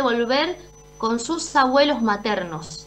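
With lively intonation, a woman talks fairly slowly in a high-pitched voice. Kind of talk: interview answer. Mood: serious, earnest. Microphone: video call.

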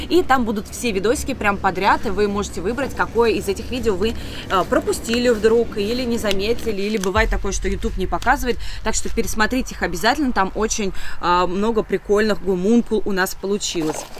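Over light background noise, a woman speaks at a fairly quick pace with ordinary pitch variation in a dry sound with no echo. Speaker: video blogger. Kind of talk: casual vlog chat with a tutorial tone. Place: garden. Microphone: camera far.

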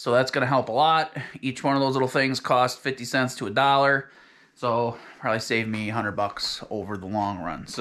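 A man's bright, sharp tone at a moderate pace, with fairly even intonation and a quiet background. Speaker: off-grid cabin builder vlogger. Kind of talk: casual vlog chat. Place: home room. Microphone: phone near.

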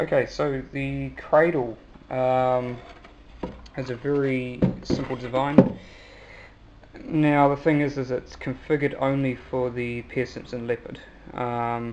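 A very slow pace of talking, with noticeable background noise throughout. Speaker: hobbyist radio builder. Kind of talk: tutorial. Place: home room. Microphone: phone near.

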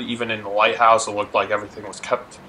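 The voice has a bright, sharp tone, a fast pace and little pitch movement. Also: man, fairly low pitch for a man.

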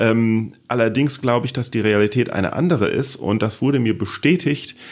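At a moderate pace, a man speaks in an unremarkable speaking voice, fairly low in pitch with ordinary pitch variation. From Palatinate, Germany. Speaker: podcast host and comedian. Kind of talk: casual chat. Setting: home office.

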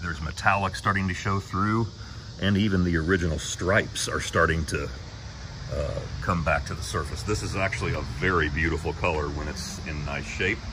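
A man's fairly quick delivery over noticeable background noise. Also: ordinary pitch variation. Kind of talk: casual vlog chat. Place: street. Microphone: phone near.

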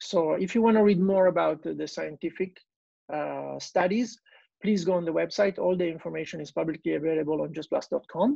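A man with an Italian accent talks at a fairly quick pace, with a dry sound with no echo and a quiet background. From Italy. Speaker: digestive health clinic owner; guest. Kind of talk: personal testimony. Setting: video call. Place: home room. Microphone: earbuds.

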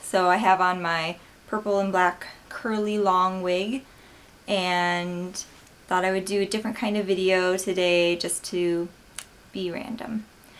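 A woman with an American accent, at a fairly slow pace, in monotone, flat intonation. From Wisconsin, USA. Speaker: vlogger. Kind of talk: casual talk to camera. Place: home room. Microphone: webcam.

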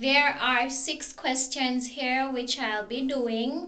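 A woman's high-pitched voice at a very slow pace, with fairly even intonation. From Jamaica. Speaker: vlogger. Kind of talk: casual talk to camera. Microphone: phone near.

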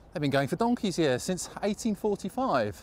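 At a moderate pace, a man speaks with a high pitch and big pitch swings.

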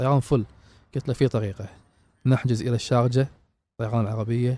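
A man talks at a medium pitch and a moderate pace with a dark, mellow tone. The sound is dry and close with no echo, in a very clean recording with a silent background. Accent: Kuwaiti. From Kuwait. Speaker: traveler and explorer. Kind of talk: interview.

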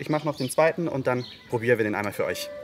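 A man talks at a very fast pace against light background noise. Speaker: bartender host. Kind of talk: tutorial. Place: garden. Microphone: studio mic.

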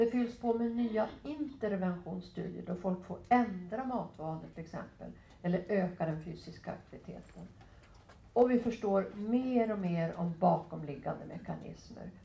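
Somewhat breathy and dark, mellow in tone, a woman talks at a moderate pace with ordinary pitch variation, big swings in loudness, and audible room echo. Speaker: physician and professor; professor. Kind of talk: lecture. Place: meeting room. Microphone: headset.

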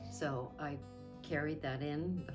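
A woman speaks at a very slow pace in a very deep, low pitch. Music plays clearly in the background. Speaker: interviewee, photo shoot client. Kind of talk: interview answer. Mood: warm, grateful, smiling. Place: studio.

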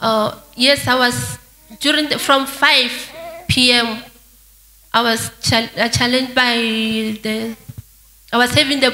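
A very slow woman's voice in a monotone, flat intonation. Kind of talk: interview answer. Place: church. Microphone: handheld.

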